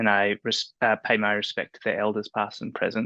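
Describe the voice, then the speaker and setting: A man speaks with an Australian accent at a medium pitch, his tone bright and sharp. The sound is dry and close with no echo, over a quiet background. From Australia, Melbourne. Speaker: freelance journalist and writer. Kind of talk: panel discussion.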